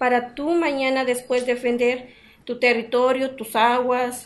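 A woman speaks at a very slow pace with a high pitch. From Mexico, Morelos (Xoxocotla). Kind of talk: interview.

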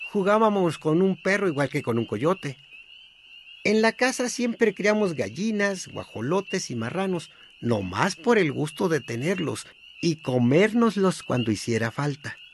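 A man's high voice at a fairly slow pace, with very wide pitch swings and noticeable background noise. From Sinaloa, Mexico (rural northwest). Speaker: memoir author and narrator. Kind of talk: scripted narration.

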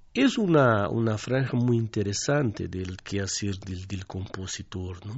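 A man with a Portuguese accent talks at a fairly slow pace, with hardly any pauses. His voice is fairly low and somewhat breathy, with ordinary pitch variation. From southern Brazil. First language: Portuguese (speaking Spanish). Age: 60s. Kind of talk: radio interview.

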